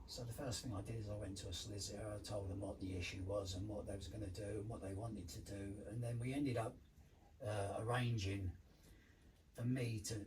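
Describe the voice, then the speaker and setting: Audible room echo surrounds a man with a fairly low pitch who speaks at a fairly quick pace with fairly even intonation. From London, England. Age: 70s. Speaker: former addict, community care manager. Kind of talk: life story interview. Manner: halting.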